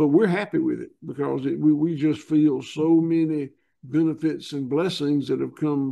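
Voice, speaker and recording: Speaking at a fairly slow pace, a man talks with a Southern US accent. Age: 70s. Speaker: farmer. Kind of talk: interview. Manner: halting.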